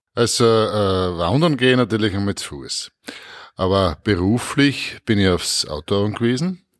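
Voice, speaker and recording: A man's fairly low voice with a Styrian accent. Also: lively intonation, fairly slow pace, very clean recording, silent background. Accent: Styrian Austrian German. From Styria, Austria (Murtal). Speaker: politician, member of parliament. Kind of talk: interview answers.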